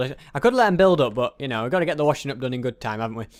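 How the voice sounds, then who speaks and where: A man's fairly high-pitched voice carries lively intonation. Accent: British. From England. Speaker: gaming YouTuber. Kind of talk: let's play commentary. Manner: halting, many fillers.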